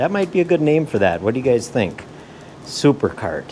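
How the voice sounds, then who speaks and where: A man with lively intonation, light background noise behind him. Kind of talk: casual vlog chat. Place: workshop. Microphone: phone near.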